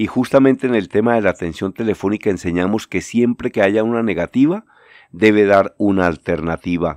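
A man with a normal speaking voice, fairly low in pitch with ordinary pitch variation, talks at a fairly quick pace in a dry, close sound with no echo and a quiet background. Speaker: journalist and lecturer. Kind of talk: radio-style commentary segment.

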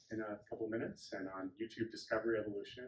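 Delivered at a very fast pace, the somewhat breathy voice has audible room echo and light background noise. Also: man. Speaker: speaker. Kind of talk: conference introduction. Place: hall. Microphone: camera far.

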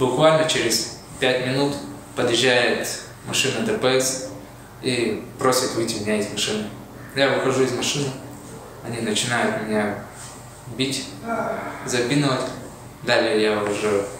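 Spoken at a fairly slow pace with long, frequent pauses and fairly even intonation, the voice carries strong room echo over noticeable background noise. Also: man. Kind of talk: recorded statement recounting events. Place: office. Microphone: camera far.

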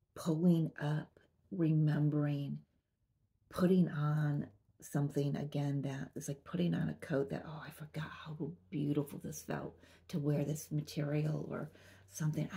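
A woman speaks in a very deep, low, somewhat breathy voice with a dark, mellow tone, fairly slowly and in a flat monotone. The background is quiet. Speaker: spiritual reader. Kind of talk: channeled message monologue. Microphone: phone near.

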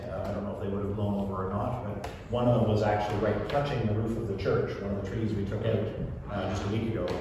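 At a very fast pace, a man with a fairly low pitch speaks with fairly even intonation amid strong room echo and noticeable background noise. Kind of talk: announcements to congregation. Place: church. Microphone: camera far.

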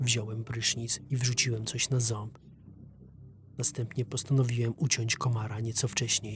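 A man talks at a medium pitch and a moderate pace, somewhat breathy. His intonation is monotone and flat, and his loudness stays very even. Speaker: voice-over narrator. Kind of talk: first-person horror story narration for an animation. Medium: dub.

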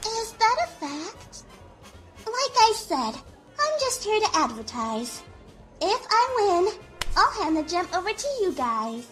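Over clear background music, a woman with an extremely high pitch and very wide pitch swings speaks at a fairly slow pace, leaving long, frequent pauses. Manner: self-promoting, pushy.

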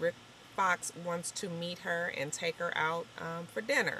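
A woman talks at a moderate pace over light background noise. The sound is dry, with no echo. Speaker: TV episode reviewer. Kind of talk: casual vlog chat. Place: car. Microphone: phone near.

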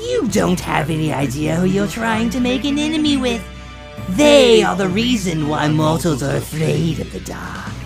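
A female-sounding voice talks at a moderate pace and medium pitch. Loud music plays in the background. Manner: frantic, menacing.

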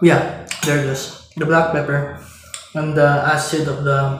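A man is speaking with audible room echo. Light background noise is present. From Philippines. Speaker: cooking vlogger. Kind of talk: cooking tutorial with casual chat. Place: kitchen. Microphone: camera far.

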